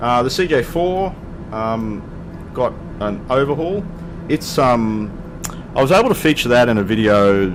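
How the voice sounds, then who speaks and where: Over noticeable background noise, a man talks at a fairly slow pace and medium pitch, his pitch swinging very widely. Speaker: flight sim video creator. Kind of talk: casual gameplay commentary. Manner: hesitant, casual, many fillers.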